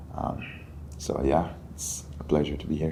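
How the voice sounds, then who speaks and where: A man's very deep, low voice with a dark, mellow tone, vocal fry, monotone, flat intonation and audible room echo. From Mali, West Africa. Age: 20s. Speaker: college student. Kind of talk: podcast interview.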